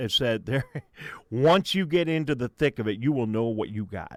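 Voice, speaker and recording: Dry and close with no echo, a man talks in an ordinary speaking voice at a moderate pace and medium pitch. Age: 60s. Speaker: local radio host. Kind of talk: casual interview. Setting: radio studio.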